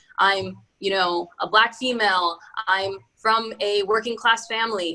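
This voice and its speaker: A woman with an American accent, medium in pitch, with fairly even intonation. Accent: American accent, quite Yankee. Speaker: venture capital fund founder. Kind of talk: webinar talk. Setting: online webinar.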